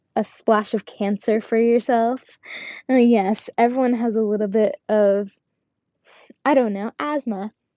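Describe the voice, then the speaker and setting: A woman talks at a fairly slow pace. Her pitch is fairly high. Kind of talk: casual monologue while sewing. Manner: quiet, can't speak loud; rambling, sidetracking.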